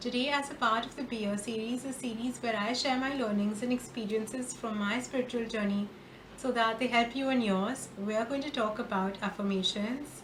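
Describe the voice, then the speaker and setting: Moderate-paced speech from a woman with fairly even intonation, over noticeable background noise. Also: fairly high pitch for a woman. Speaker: spiritual guide and tarot reader. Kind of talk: casual talk to camera.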